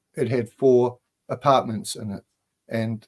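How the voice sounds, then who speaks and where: With a New Zealand accent, a man speaks at medium pitch with ordinary pitch variation. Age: 60s. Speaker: spiritual author. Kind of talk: casual chat.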